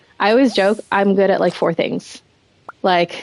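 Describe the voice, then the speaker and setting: A soft-spoken woman talks at a moderate pace with ordinary pitch variation. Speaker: streamer. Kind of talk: casual chat. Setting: live stream.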